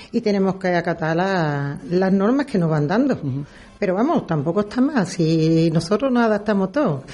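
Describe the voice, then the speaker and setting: Woman with an unremarkable speaking voice, medium pitch, lively intonation, very even loudness and a moderate pace. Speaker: brotherhood worship officer. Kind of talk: radio interview.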